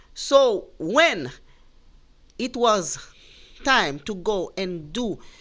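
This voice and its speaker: A woman talks with very wide pitch swings. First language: Spanish. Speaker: commentator. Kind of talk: monologue talk. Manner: slow; halting.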